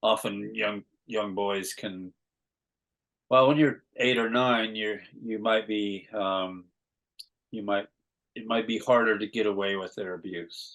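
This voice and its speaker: This man speaks with an American accent at a fairly low pitch. His intonation is monotone and flat. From California. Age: 60s. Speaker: artist and abuse survivor. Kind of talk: interview testimony. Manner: hesitant, many repeats and fillers.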